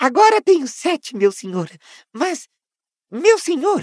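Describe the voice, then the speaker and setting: Squeaky and high, a put-on character voice takes its time at a fairly slow pace while the pitch swings very widely. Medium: read story. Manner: anxious, fawning, talks of himself in third person.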